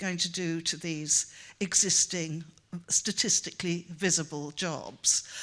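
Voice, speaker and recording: A woman with a Welsh accent speaks at a fairly low pitch. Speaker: professor. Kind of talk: conference talk. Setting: conference stage with audience. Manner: halting, many fillers.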